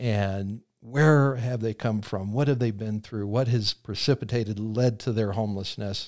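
Recorded very cleanly against a silent background, a man with a plain, everyday voice talks at a moderate pace in a fairly low pitch with fairly even intonation. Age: 50s. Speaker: homeless shelter director. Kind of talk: interview.

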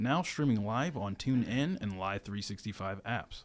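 A plain, everyday voice with an American accent at a moderate pace. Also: man. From Virginia. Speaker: college radio sports host. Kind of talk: casual sports talk; radio station ID read. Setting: radio studio.

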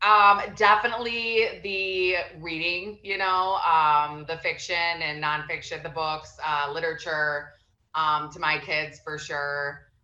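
A bright, sharp tone with ordinary pitch variation moves at a very slow pace amid audible room echo. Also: woman, fairly low pitch for a woman. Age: 30s. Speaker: entrepreneur and mother. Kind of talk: casual chat.

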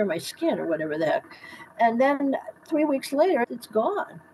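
A woman speaks at a moderate pace in a high voice with an American accent. Noticeable background noise sits behind her. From US Midwest, south of Chicago. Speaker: doctor. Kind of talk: interview. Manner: animated.

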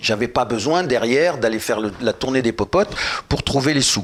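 A man talks at a moderate pace. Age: old. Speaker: retired film producer. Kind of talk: casual chat.

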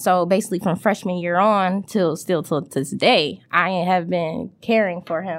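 In an ordinary speaking voice, a woman talks at a moderate pace with hardly any pauses and fairly even intonation. The recording is very clean, with a silent background. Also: medium pitch for a woman. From Detroit, east side. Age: 20s. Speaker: mobile bar owner. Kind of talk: casual interview.

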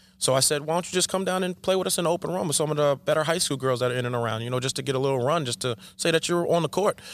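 Talking at a very fast pace with hardly any pauses, a man with a Long Island accent uses a fairly high pitch and ordinary pitch variation. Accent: New York (Long Island). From Long Island, New York. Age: 40s. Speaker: basketball coach. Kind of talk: casual chat.

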